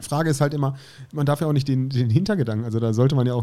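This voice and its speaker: A dark, mellow tone defines this voice. Its pitch shows ordinary variation. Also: man. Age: 30s. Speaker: podcast co-host. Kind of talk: casual chat.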